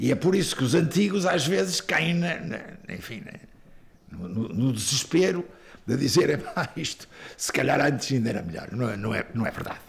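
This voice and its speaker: A man with a fairly high pitch and vocal fry talks at a moderate pace. His pitch swings very widely and his loudness swings a lot. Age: 70s. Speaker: singer-songwriter, teacher and coach. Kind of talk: elder life story, reflective interview recollection of the dictatorship years. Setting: interview.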